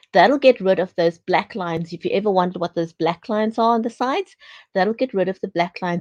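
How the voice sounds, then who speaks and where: At a very fast pace, a woman speaks at medium pitch, the sound dry and close with no echo. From South Africa. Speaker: talk show host. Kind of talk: interview; tutorial. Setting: live stream.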